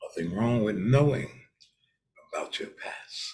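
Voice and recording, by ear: A man with a fairly low pitch and a slightly mellow tone speaks fairly slowly, his intonation lively.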